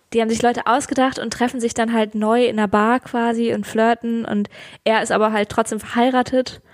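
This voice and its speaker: A woman speaks at a fairly quick pace with a fairly high pitch. Her intonation is monotone and flat. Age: 20s. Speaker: podcast co-host. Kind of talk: casual chat. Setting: recording in own room.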